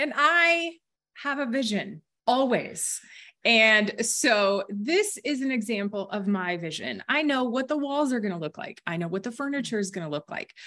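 Fairly high in pitch with a bright, sharp tone, a woman speaks at a fairly quick pace with very wide pitch swings. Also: quiet background. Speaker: training host. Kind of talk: webinar hosting, chatty. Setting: video call.

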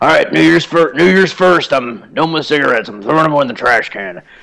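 A man puts on a character voice that is raspy and gravelly, at a fairly high pitch. His intonation is lively and his pace moderate.

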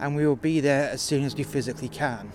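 An angry man with a British accent and fairly high pitch, music playing in the background. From UK. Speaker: takeaway worker telling a story. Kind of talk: angry rant. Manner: angry, sweary, venting.

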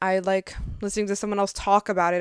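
In a very clean recording with a silent background, a woman talks very fast in a flat, monotone intonation. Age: 20s. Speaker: podcaster. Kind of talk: casual monologue. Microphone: new microphone.

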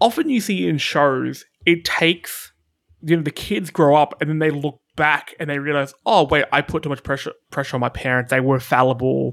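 A man mumbles at a moderate pace in a fairly high voice with ordinary pitch variation. The recording is very clean, with a silent background. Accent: Australian. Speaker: podcast host. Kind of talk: casual chat. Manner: mumbles and stutters.

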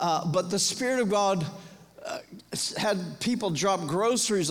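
A man with an American accent speaks at a high pitch and a fairly slow pace, with ordinary pitch variation and long, frequent pauses. Noticeable background noise and audible room echo are present. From US South, Florida. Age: 50s. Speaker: pastor. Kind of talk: sermon.

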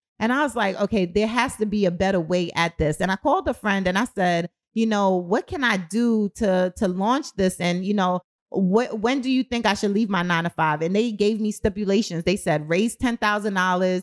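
A woman talks in an unremarkable speaking voice at a medium pitch and a moderate pace, with ordinary pitch variation, very even loudness and hardly any pauses. The recording is very clean, with a silent background. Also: dry, close sound with no echo. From born in Kingston, Jamaica; grew up in Brooklyn, New York. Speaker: t-shirt brand founder and entrepreneur. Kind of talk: casual interview. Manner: conversational, many fillers.

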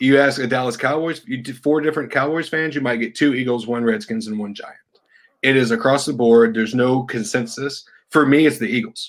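In an ordinary speaking voice with an American accent, a man talks at a medium pitch and a fairly quick pace, his pitch varying in an ordinary way. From Texas. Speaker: sports fan guest. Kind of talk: casual chat.

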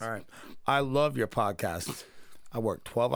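This clip is reading aloud in a natural voice.

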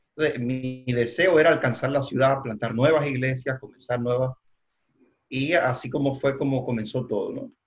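A man's medium-pitched voice at a moderate pace, fairly even in intonation, with music in the background. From Cuba. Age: 40s. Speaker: church leader and trainer. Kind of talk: interview. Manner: halting, many fillers.

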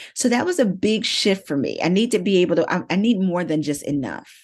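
A normal speaking voice from a woman, fairly low in pitch, with lively intonation, a moderate pace and a quiet background. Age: 50s. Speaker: marketing business owner and author. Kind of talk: interview conversation.

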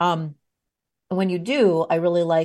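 With a warm, upbeat tone, a woman talks at a very slow pace in a fairly low pitch. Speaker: podcast host and leadership coach. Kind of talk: podcast interview. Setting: video call recording.

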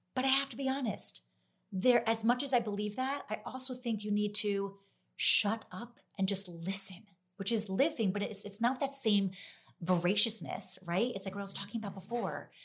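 An animated, somewhat breathy woman at medium pitch with an American accent, ordinary pitch variation and a moderate pace. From New Jersey suburbs. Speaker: dancer and choreographer. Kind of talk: casual chat.

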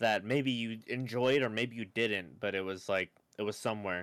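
A man with ordinary pitch variation. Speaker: streamer and podcast co-host. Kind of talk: casual chat. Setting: video call. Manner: talkative, frequent repetitions.

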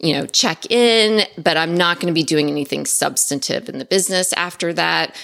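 The tone is bright and sharp, with vocal fry. Delivery runs at a moderate pace with hardly any pauses. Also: woman. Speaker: productivity consultant. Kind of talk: casual chat.

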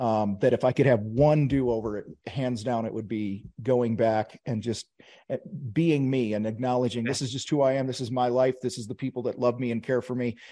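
Against a quiet background, a man with an American accent talks at a fairly quick pace in a dark, mellow tone, with medium pitch and fairly even intonation. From US Midwest, Wheaton, Illinois (Chicago suburbs). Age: 50s. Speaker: contractor business coach and TV host. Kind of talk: casual interview chat.

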